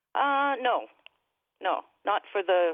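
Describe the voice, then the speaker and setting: A woman with a Canadian accent. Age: 60s. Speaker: caller. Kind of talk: call-in radio interview. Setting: phone call. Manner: casual, hesitant with fillers.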